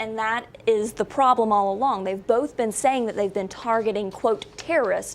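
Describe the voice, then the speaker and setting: In a plain, everyday voice, a woman speaks at a moderate pace and fairly high pitch with ordinary pitch variation. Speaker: TV news reporter. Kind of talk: TV news report clips.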